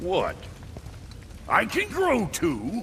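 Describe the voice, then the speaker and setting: A man speaks in a put-on character voice. Clear background noise runs behind him. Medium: video game. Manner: gruff, salty, folksy.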